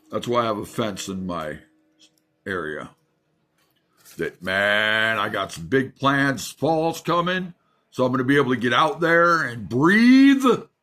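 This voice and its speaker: Over music in the background, the voice moves at a fairly slow pace with long, frequent pauses and very wide pitch swings. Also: man, medium pitch for a man. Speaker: vlogger. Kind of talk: casual monologue. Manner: rambling.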